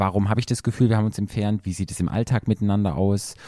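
This man's voice is dark and mellow, with a fairly low pitch. He talks at a very fast pace. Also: dry, close sound with no echo. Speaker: sex therapist. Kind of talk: casual interview.

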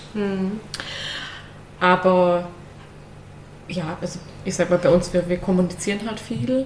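A woman with a fairly low pitch speaks at a fairly slow pace, her intonation fairly even and broken by long, frequent pauses. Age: 30s. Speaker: controller in energy sector, podcast guest. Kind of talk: casual interview. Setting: studio, sitting next to husband.

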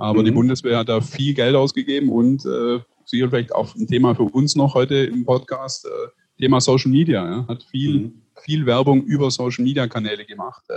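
At a fairly quick pace, a man speaks at a medium pitch in a somewhat breathy voice. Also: fairly even intonation. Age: 30s. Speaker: publisher, family business owner. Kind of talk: interview conversation. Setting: video call.

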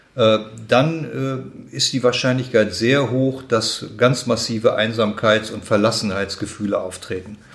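A somewhat breathy voice at a very slow pace. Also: man. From Germany, Braunschweig. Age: 60s. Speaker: head of a charity for elderly people. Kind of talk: interview. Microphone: muffled from wearing a mask.

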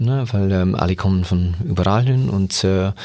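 This is a man's voice. Its pitch shifts in an ordinary way. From England. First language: English (speaking German). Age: 40s. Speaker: youth football coach. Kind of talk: interview. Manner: halting, many fillers.

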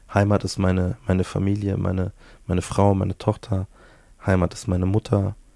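A man speaks in a very deep, low pitch with a dark, mellow tone and flat, monotone intonation. His pace is moderate, and the recording is very clean with a silent background. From Bavaria. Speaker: musician and author. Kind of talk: casual interview. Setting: home studio. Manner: hesitant with many fillers.

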